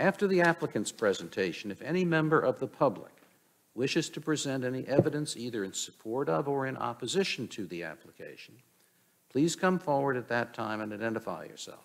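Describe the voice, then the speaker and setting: A man at a fairly quick pace, with very wide pitch swings and big swings in loudness. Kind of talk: formal procedural reading. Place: hall. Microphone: podium.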